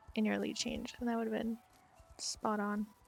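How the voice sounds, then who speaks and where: A woman speaks in a soft-spoken way. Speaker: riding clinic instructor in online game. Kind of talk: live coaching feedback. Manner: sounds sarcastic when nice.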